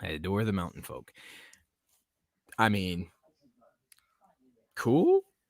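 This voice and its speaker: Long, frequent pauses mark a man's very slow pace, with ordinary pitch variation. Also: fairly low pitch for a man. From Tennessee, US South. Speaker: podcast host. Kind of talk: casual chat. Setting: live stream.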